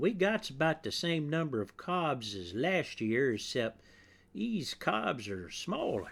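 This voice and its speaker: A put-on character voice drawls at a fairly slow pace with very wide pitch swings. The recording is very clean, with a silent background. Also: man, fairly high pitch for a man. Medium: read story. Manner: folksy, ungrammatical drawl.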